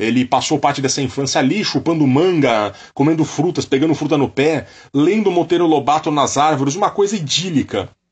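A man with a Brazilian accent, fairly high in pitch, at a moderate pace. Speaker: music podcast co-host. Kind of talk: music podcast with narrated background segments.

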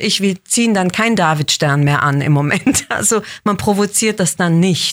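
Over a silent background in a very clean recording, a normal speaking voice goes at a fairly slow pace with ordinary pitch variation. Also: woman. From Switzerland, Basel. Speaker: actress. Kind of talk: interview.

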